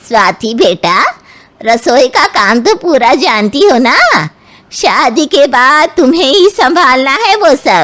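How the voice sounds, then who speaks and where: In a cartoonish character voice, a woman uses a high pitch with very wide pitch swings. Her pace is fairly slow and her loudness very even. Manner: condescending, bossy.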